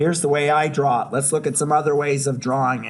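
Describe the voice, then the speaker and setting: There is audible room echo. A man speaks at a fairly high pitch. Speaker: professor. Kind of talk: lecture. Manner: conversational, interactive.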